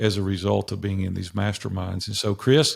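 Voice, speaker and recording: A man with a Tennessee accent talks at a fairly low pitch. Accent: Southern US (Tennessee). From US South, Nashville, Tennessee. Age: 60s. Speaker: business coach and entrepreneur. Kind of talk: interview storytelling.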